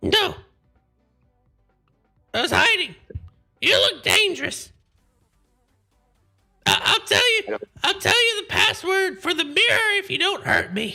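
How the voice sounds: Squeaky and extremely high, a put-on character voice speaks at a fairly slow pace with long, frequent pauses while faint music plays in the background.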